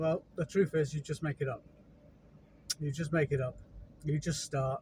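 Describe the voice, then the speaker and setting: Somewhat breathy, a man with a fairly high pitch speaks at a moderate pace in a monotone, flat intonation with long, frequent pauses. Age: 40s. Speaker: handyman and gardener. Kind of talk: casual vlog monologue. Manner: halting, with stutters and fillers.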